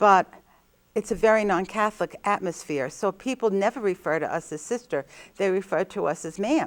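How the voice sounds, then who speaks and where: A woman with a New Jersey accent talks at a fairly quick pace with lively intonation and a medium pitch, in a dry, close sound with no echo on a very clean recording with a silent background. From New Jersey, Jersey City. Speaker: nun. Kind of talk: interview.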